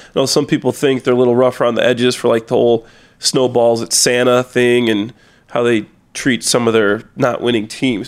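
The recording is very clean with a silent background. A man speaks at a medium pitch and a fairly quick pace. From US Midwest, small-town Illinois. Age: 30s. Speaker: podcast guest, reality TV personality. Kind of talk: casual chat.

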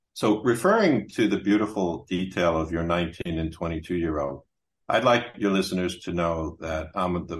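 Over a quiet background, a man with an American accent speaks in a very deep, low pitch with fairly even intonation. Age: 60s. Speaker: author and business consultant. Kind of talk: casual interview.

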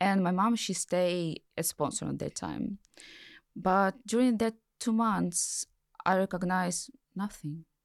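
With a strong Ukrainian accent, a woman speaks at a very slow pace in a medium pitch with ordinary pitch variation, on a very clean recording with a silent background and a dry, close sound with no echo. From Ukraine. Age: 30s. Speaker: war refugee and author. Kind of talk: personal testimony in interview. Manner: halting.

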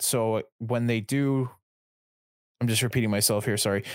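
On a very clean recording with a silent background, a man speaks at a medium pitch and a moderate pace. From Canada. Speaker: YouTube gaming content creator. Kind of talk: podcast interview. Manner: halting.

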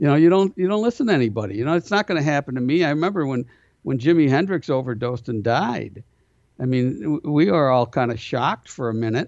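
In a Buffalo accent, a man talks at a very fast pace on a very clean recording with a silent background. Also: fairly high pitch for a man, lively intonation. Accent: Buffalo-area. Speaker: prison minister. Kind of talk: interview.

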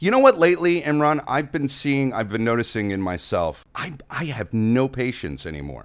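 A man with an unremarkable speaking voice talks at a moderate pace and medium pitch. His intonation is lively, with hardly any pauses. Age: 40s. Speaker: podcast co-host and actor. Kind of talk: casual chat. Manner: irritated, crude.

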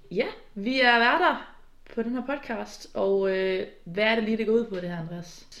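Audible room echo surrounds a woman speaking at a fairly slow pace. Her pitch shows ordinary variation. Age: 20s. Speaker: podcast co-host. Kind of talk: casual chat.

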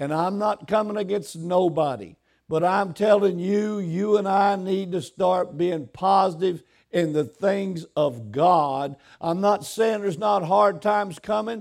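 The tone is animated, with ordinary pitch variation and a fairly slow pace. The recording is very clean with a silent background. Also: man, high pitch for a man. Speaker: pastor. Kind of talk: sermon preached live to a congregation. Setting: church. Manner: animated, exhorting, call-and-response with the congregation; emphatic, repetitive, dwelling on points.

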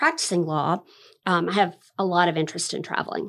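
An ordinary speaking voice comes through with an American accent and fairly even intonation. The recording is very clean with a silent background. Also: woman. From Florida, Fernandina Beach. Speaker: administrative law judge. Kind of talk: interview.

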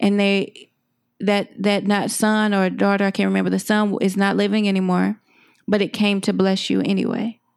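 A woman with an American accent speaks at a moderate pace in a very clean recording with a silent background. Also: very even loudness. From Texas (Dallas). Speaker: filmmaker and podcaster. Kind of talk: casual interview chat.

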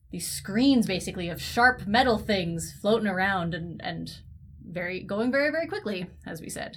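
A woman speaks in a Canadian accent with vocal fry. Her loudness swings widely. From Canada, Ontario near Toronto. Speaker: science communicator podcast co-host. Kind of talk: casual chat.

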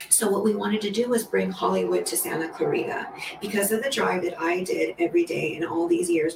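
Speaking at a fairly quick pace with an American accent, this voice comes through over noticeable background noise. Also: woman. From Los Angeles, California. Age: 50s. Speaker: dance mom and studio co-owner. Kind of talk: casual chat.

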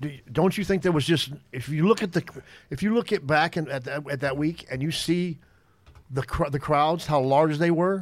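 Using a plain, everyday voice, a man speaks at a fairly high pitch and moderate pace with ordinary pitch variation. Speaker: podcast guest. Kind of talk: casual chat. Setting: studio.

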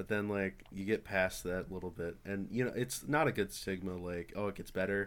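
The man has an unremarkable speaking voice, fairly low in pitch with ordinary variation. He talks at a moderate pace with hardly any pauses. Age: young. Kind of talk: casual chat.

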